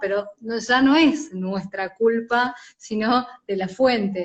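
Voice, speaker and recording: A somewhat breathy woman's voice, fairly high in pitch with ordinary pitch variation, in an Argentine accent. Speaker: journalist, commercial announcer, weather presenter. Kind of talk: interview answer.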